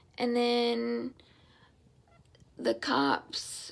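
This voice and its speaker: At a very slow pace, a woman speaks with a Southern US accent. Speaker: stroke survivor vlogger. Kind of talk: personal testimony. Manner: halting.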